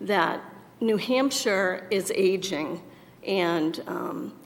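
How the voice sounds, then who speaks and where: A woman speaks very slowly at a medium pitch. The room's echo is clearly audible. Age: 60s. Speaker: political candidate. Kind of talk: candidate forum answer.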